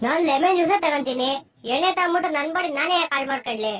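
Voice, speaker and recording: A cartoonish character voice with a high pitch moves along at a moderate pace. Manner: earnest, exasperated.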